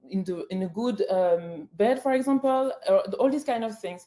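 Speech comes at a moderate pace with lively intonation. It carries a French accent. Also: woman. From France. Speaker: public hearing speaker. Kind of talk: public testimony. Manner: halting, many fillers.

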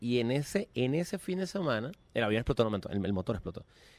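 Here a man speaks with a Venezuelan accent. His pace is fairly quick and his intonation lively. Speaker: musician. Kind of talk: casual chat.

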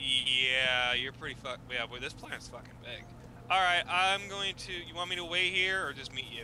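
A man's fairly high, ordinary speaking voice with an American accent, lively intonation and a moderate pace. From New Jersey. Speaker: gamer. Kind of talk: casual gameplay chat.

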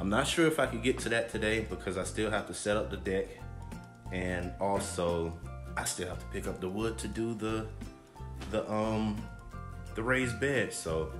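Against clear music in the background, a man with a fairly low voice talks at a moderate pace with long, frequent pauses. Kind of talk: casual vlog chat. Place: home room. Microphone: phone near.

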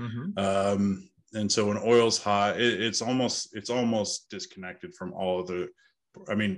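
Against a quiet background, a man with a normal speaking voice talks fairly slowly, fairly low in pitch with ordinary pitch variation. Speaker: podcast guest. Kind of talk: interview answer. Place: office. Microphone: earbuds.

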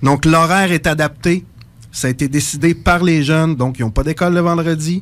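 A man with an ordinary speaking voice, fairly high in pitch, fairly even in intonation, at a fairly quick pace. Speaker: psychosocial worker. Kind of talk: radio interview. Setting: radio studio.

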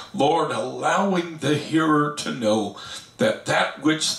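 A man talks at a very slow pace, with audible echo from the room around him. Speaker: pastor teaching Bible study. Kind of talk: sermon. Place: home room.

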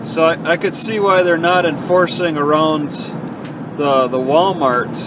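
Ordinary pitch variation under loud background noise, the sound dry with no echo. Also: man. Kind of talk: casual driving narration. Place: car. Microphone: phone near.

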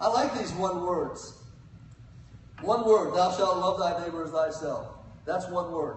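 Over audible room echo, a man talks at a high pitch and a fairly slow pace with ordinary pitch variation.

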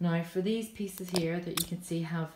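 Audible room echo and light background noise surround the speaker. A woman with a fairly low pitch talks with fairly even intonation. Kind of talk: tutorial. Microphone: phone near.

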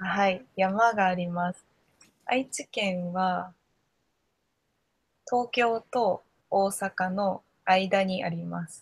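A woman's somewhat breathy, very slow delivery, fairly even in intonation, with long, frequent pauses. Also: big swings in loudness. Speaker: Japanese conversation tutor. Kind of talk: casual conversation for learners. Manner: slow, simple words. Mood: cheerful, smiling, laughing. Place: home room. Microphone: video call.

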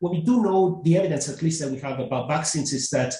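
Somewhat breathy and dark, mellow in tone, the voice has ordinary pitch variation, with audible room echo against a quiet background. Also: man. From Italy. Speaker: economist; panelist. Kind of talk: webinar panel discussion. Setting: webinar. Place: home room.

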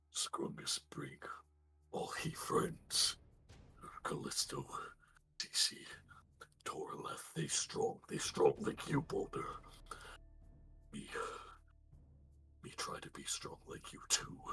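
A man whispers in a put-on character voice at a very slow pace. He leaves long, frequent pauses. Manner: broken caveman grammar, blunt, earnest.

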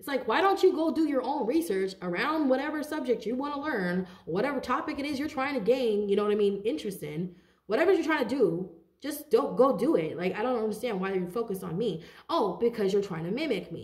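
Animated and fairly quick, a woman speaks with very wide pitch swings. Her pitch is fairly high, and the background is quiet. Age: 30s. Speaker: tarot card reader. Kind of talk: tarot reading monologue. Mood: animated, indignant. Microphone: phone near.

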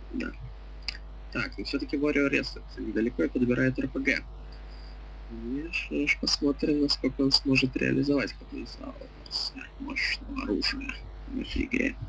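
The speech moves at a moderate pace. Long pauses come often. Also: man. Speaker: game stream commentator. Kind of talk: live commentary. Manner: loud.

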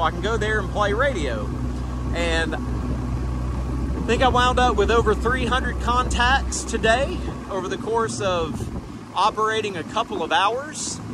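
A man's voice sounds dry with no echo, over noticeable background noise. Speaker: amateur radio operator boating. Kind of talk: casual vlog chat. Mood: happy, relaxed. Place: boat.

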